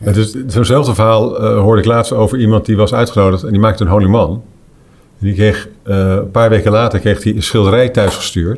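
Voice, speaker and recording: Using an ordinary speaking voice, a man talks at a fairly quick pace with a fairly low pitch. His loudness stays very even and his intonation fairly even. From Netherlands. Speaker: golf tournament director and commentator. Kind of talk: casual chat.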